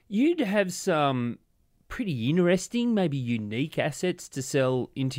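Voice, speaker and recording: On a very clean recording with a silent background, a man with an Australian accent speaks with lively intonation. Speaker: podcast host. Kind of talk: interview; scripted narration.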